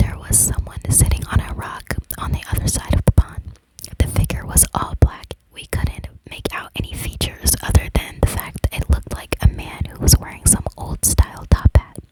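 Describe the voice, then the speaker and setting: Whispering at a moderate pace. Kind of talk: horror story narration, read aloud.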